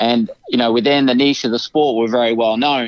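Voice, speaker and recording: Moving at a moderate pace, a man speaks with monotone, flat intonation in a dry, close sound with no echo and a quiet background. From UK (American raised in the UK). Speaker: film producer. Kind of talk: interview.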